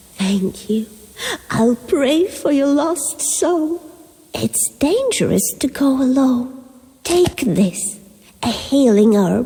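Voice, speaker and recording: In a put-on character voice, a woman speaks at a very slow pace and high pitch, with lively intonation and very even loudness. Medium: video game.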